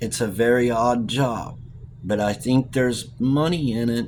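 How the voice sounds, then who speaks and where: A man puts on a gruff character voice at a medium pitch, with fairly even intonation. He talks at a moderate pace over clear background noise. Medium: read story. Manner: gruff, blunt.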